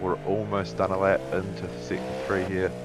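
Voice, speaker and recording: With music in the background, a man with a New Zealand accent speaks at a fairly slow pace in a very deep, low pitch, using very wide pitch swings. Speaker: sim racing commentator. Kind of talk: live commentary.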